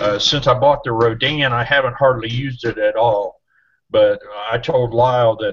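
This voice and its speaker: A man speaks somewhat breathily at a moderate speed, his pitch sitting in the medium range. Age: 60s. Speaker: boating safety co-host. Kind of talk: casual chat.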